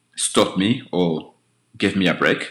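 Here is a man's voice. Its tone is bright and sharp. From Rwanda and Kenya. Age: 40s. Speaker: DJ and long-distance cyclist. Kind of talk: interview. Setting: remote call.

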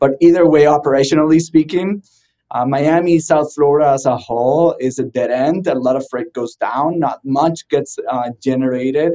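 A man with a Spanish accent speaks in a dark, mellow tone at a fairly high pitch, his intonation fairly even. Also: moderate pace. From Venezuela. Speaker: trucking tech company founder. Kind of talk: podcast interview. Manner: hesitant, many fillers.

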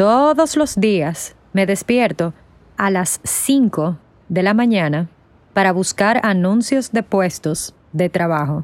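Speech comes at a very slow pace. Its intonation is lively. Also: woman, medium pitch for a woman. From Dominican Republic. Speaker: aspiring film worker. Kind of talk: scripted narration for language learners.

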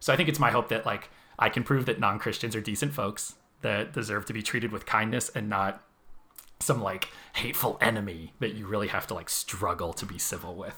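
With an American accent, a man talks at a fairly quick pace in a fairly low, bright and sharp voice, using ordinary pitch variation. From Arizona. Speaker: photographer. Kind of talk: casual chat. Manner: halting.

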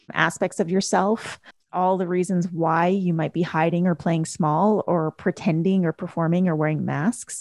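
An unremarkable speaking voice from a woman with a Canadian accent, fairly low in pitch, fairly even in intonation and moderate in pace, dry and close with no echo against a quiet background. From Canada. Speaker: life coach and author. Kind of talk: interview.

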